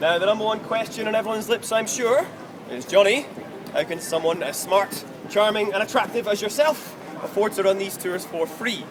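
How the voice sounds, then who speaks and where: A man talks at a fairly quick pace with a high-pitched voice. Noticeable background noise runs underneath. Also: ordinary pitch variation. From Scotland, Kinross. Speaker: tour guide. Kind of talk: guided walking tour talk. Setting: outdoors on city street with tour group. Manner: animated, jokey.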